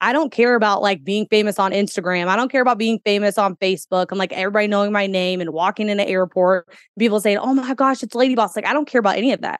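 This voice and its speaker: A woman with an American accent speaks at a very fast pace with hardly any pauses. Her medium pitch shows ordinary pitch variation, and the sound is dry and close with no echo. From US Midwest, Kentuckiana area. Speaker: entrepreneur and mother. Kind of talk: casual interview chat.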